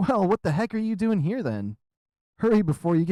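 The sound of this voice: The reading voice is unforced. Little sound comes from the background.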